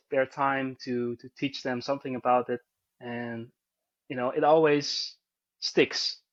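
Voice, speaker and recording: In a Dutch accent, a man talks with monotone, flat intonation. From Netherlands, Arnhem. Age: 30s. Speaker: bowyer and history teacher. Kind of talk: casual interview. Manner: halting, with repetitions and fillers.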